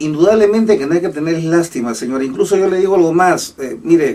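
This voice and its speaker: Talking at a fairly quick pace, a man with a high pitch shows ordinary pitch variation. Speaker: economist commentator. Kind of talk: radio interview with call-ins. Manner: hesitant, many fillers.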